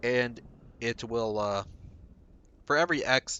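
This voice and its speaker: This man's voice has a medium pitch. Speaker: game streamer. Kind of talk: live gameplay commentary.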